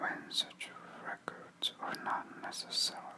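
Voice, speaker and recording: A whisper moves at a fairly slow pace while noticeable noise sounds behind it. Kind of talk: whispered news article reading. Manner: whispered.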